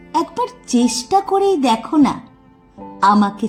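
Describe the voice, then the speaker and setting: A woman speaks with music in the background. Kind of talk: poetry reading. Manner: emotional.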